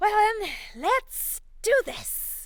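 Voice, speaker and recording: A woman speaks in a put-on character voice. Her pitch is extremely high. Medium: read story. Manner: carefree, cheeky, laughing.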